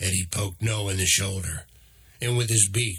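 The text is read aloud plainly, its intonation fairly even.

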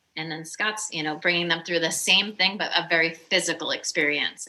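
There is noticeable background noise as a woman talks in a fairly low register. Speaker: mindset coach. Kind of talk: casual chat. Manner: animated.

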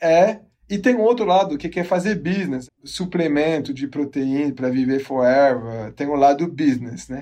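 A man's fairly high voice in a dark, mellow tone, with lively intonation at a moderate pace. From abroad, not Brazil. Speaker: geneticist and research director. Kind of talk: interview. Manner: halting.

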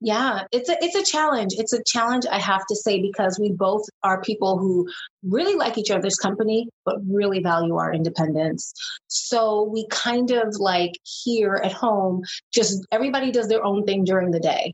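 This woman, speaking with an American accent, has a medium pitch and ordinary pitch variation. Her pace is moderate and her loudness stays very even. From New York City, Brooklyn. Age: 40s. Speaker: reality TV contestant. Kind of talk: casual chat.

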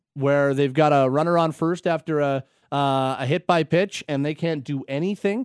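With a Canadian accent and a plain, everyday voice, a man at a fairly high pitch keeps his intonation fairly even, the sound dry and close with no echo over a quiet background. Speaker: sports radio host. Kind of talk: sports talk radio. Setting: studio.

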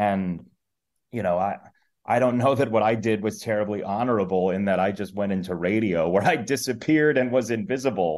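With a plain, everyday voice, a man speaks at a moderate pace, his fairly low pitch showing ordinary variation. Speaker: sports play-by-play announcer. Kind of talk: interview conversation.

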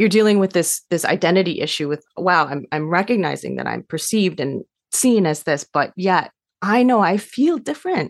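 With a General American accent, a woman uses a normal speaking voice at fairly low pitch, moderate pace and lively intonation, in a dry, close sound with no echo. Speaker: adoption counselor and social worker. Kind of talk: interview, conversational.

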